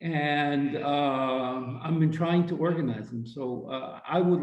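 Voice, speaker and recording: With audible room echo, a man with a fairly high pitch speaks at a fairly slow pace using fairly even intonation. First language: Ukrainian. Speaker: audience participant. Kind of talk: audience Q&A comment.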